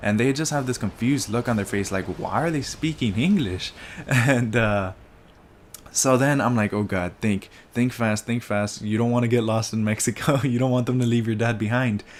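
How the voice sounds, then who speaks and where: A man speaks at a moderate pace in a plain, everyday voice, medium in pitch, with ordinary pitch variation. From United States, Mexican-American family. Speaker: gaming commentator. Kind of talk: casual gameplay commentary. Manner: casual, storytelling with fillers.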